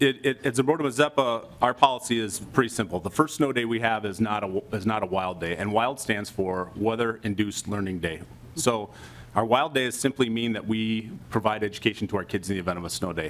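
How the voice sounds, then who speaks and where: At a fairly quick pace, a man speaks in a fairly low pitch with ordinary pitch variation. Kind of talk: hearing testimony. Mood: calm, positive, formal. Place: meeting room. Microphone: podium.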